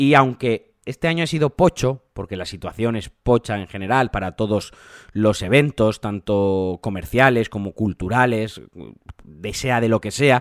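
In a very clean, dry and close recording with no echo and a silent background, a man with a normal speaking voice talks at a fairly slow pace in a medium pitch with ordinary pitch variation. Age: 30s. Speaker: video game podcaster. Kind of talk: solo podcast commentary.

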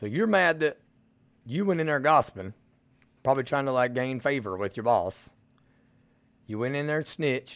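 A man with a strong Southern US accent speaks at a moderate pace and medium pitch, his intonation lively. He leaves long, frequent pauses, and the recording is very clean with a silent background. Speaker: podcast host. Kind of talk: political commentary monologue. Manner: blunt, direct; casual, folksy.

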